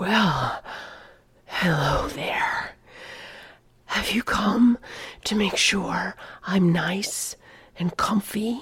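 Whispering in a put-on character voice, a woman speaks at a very slow pace with long, frequent pauses. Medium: read story. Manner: taunting, obnoxious, provocative.

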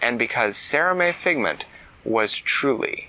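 Plain reading aloud. The intonation is lively.

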